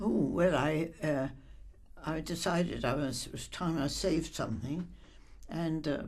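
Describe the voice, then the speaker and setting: Very deep and low, a woman's voice with vocal fry moves at a fairly slow pace with ordinary pitch variation. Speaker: bank depositor. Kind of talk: interview answer.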